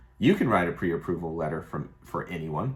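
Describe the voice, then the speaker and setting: A man speaks at a moderate pace. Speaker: mortgage lender. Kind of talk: tutorial. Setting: office. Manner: casual.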